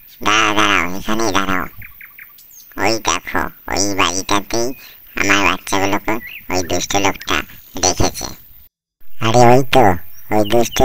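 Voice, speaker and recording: A man performs a cartoonish character voice, pitched fairly low. He keeps a moderate pace. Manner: anxious, emotional.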